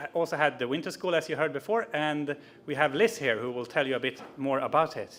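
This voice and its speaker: A fairly high-pitched man with a Swedish accent and lively intonation. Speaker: youth network organiser. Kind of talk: conference presentation.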